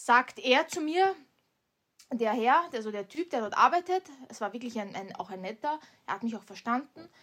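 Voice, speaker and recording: A woman with an Austrian accent speaks in a high pitch with very wide pitch swings. Her loudness swings widely, and she takes long, frequent pauses. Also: moderate pace. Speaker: podcast co-host. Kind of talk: casual chat.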